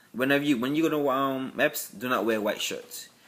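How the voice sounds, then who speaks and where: A man with a Virgin Islands accent at a moderate pace. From US Virgin Islands. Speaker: military applicant vlogger. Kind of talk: casual vlog. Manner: halting.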